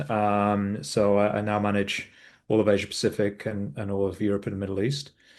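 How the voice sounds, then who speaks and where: In a British accent, a man with a fairly low pitch speaks at a moderate pace against a quiet background. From UK. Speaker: ed-tech executive. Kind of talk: interview. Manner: hesitant, many fillers.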